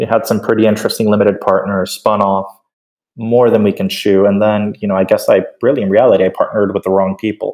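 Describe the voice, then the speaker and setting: A man talks with a Spanish accent. He goes at a very fast pace. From Venezuela, Caracas. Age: 30s. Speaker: tech company CEO. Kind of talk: interview. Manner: halting.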